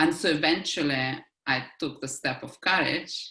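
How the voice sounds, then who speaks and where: A woman with a strong Russian accent, very deep, low pitch and a bright, sharp tone. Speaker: life coach. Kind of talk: interview conversation.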